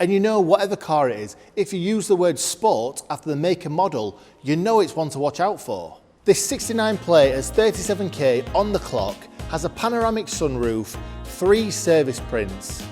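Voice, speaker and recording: Music in the background behind an upbeat man at a fairly high pitch, very wide pitch swings, and a moderate pace. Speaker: auction company presenter. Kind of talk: upbeat promotional talk to camera.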